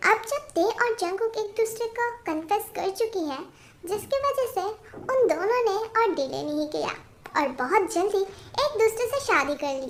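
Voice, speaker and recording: The woman's pitch is extremely high. She keeps a moderate pace. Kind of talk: melodramatic romance narration. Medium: fan dub. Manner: chatty, casual.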